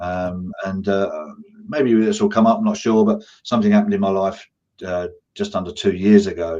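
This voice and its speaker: This man talks at a fairly quick pace in an English accent. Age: 60s. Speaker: business owner and martial arts instructor. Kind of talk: interview.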